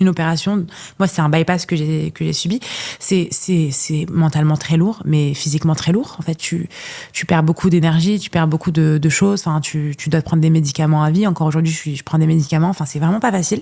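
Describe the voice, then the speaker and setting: Over noticeable background noise, a woman talks at a fairly quick pace with a very deep, low pitch and fairly even intonation. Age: 20s. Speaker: content creator and podcaster. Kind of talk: casual interview chat. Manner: fast, halting with many repetitions.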